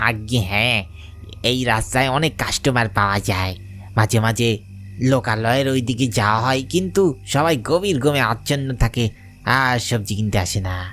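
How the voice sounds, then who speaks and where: A low-pitched cartoonish character voice goes at a moderate pace over clear background noise. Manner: folksy village speech turning sinister.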